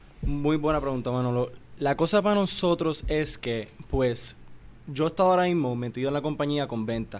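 A man with a Puerto Rican accent speaks at a moderate pace in a fairly high pitch, with ordinary pitch variation, on a very clean recording with a silent background. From Puerto Rico. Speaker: family business executive. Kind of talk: interview.

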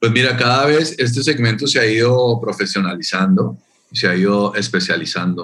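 A man has an ordinary speaking voice at a medium pitch with lively intonation. His moderate pace comes with very even loudness. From Colombia. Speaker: tourism official. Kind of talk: interview.

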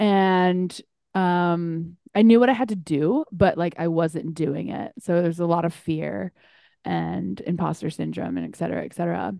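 The speaker moves at a moderate pace, with big swings in loudness. The background is quiet. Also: woman. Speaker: podcast host. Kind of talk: casual chat. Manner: casual, candid, excitable; filler-heavy speech.

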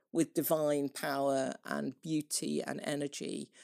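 Very slowly, a woman speaks in a dry, close sound with no echo. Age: 50s. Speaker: Anglican priest and writer. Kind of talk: interview conversation. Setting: remote call across the Atlantic.

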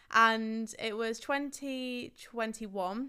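A woman speaks in an English accent with a bright, sharp tone. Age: 20s. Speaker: running club founder. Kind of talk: casual chat.

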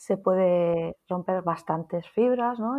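A woman speaks at medium pitch. Her intonation is lively. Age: 40s. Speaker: nurse and psychotherapist. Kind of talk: interview conversation. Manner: halting.

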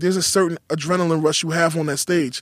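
Very fast speech in a New York accent, with fairly even intonation and a dry, close sound with no echo. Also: man. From New York City, Queens. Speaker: rapper. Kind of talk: casual interview. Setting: studio.

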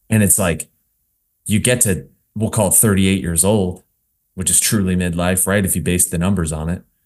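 A man with an American accent speaks at a very deep, low pitch and a moderate pace, with fairly even intonation and long, frequent pauses. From New Jersey. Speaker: fitness coach. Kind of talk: casual interview.

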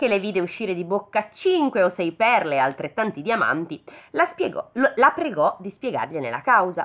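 The clip consists of plain reading aloud.

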